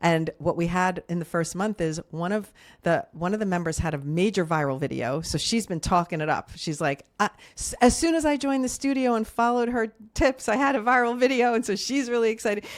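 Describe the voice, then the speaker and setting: At a fairly quick pace, a woman speaks at a medium pitch with very wide pitch swings. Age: 60s. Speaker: social media creator and TV producer. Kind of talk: interview.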